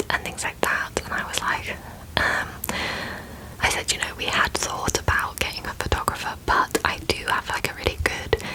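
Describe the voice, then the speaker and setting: Whispering from a woman, with noticeable noise in the background. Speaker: ASMR creator. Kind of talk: casual talk to camera. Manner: whispered.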